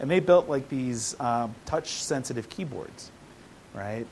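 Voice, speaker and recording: Here is a man with a General American accent and an unremarkable speaking voice. His pace is moderate, and his pitch varies in an ordinary way. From US Midwest. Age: 40s. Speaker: tech engineer. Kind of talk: interview.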